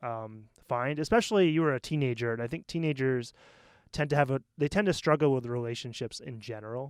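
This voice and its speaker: In a New England accent, a man talks at a fairly quick pace and medium pitch with ordinary pitch variation, in a very clean recording with a silent background. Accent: American, New England. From US Northeast, Maine. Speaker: podcast co-host. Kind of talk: casual chat. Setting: studio.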